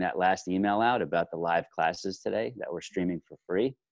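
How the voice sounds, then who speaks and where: A man's very deep, low pitch with lively intonation at a fairly quick pace. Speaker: podcast co-host. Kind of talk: casual chat. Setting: studio, remote recording over video call.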